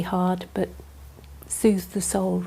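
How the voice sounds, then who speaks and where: Somewhat breathy, in a West Midlands accent, with a dark, mellow tone and flat, monotone intonation. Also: woman. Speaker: nurse and garden volunteer. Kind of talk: documentary interview.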